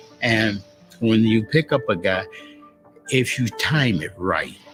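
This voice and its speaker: Over music in the background, a man with an American accent talks at a fairly slow pace, his medium pitch showing ordinary variation. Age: 90s. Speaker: war veteran, fighter pilot. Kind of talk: interview answer, personal war memories.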